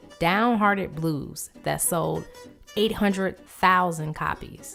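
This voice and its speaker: Music plays in the background. A woman with a medium pitch speaks at a fairly slow pace. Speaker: vlogger. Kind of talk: documentary-style narration.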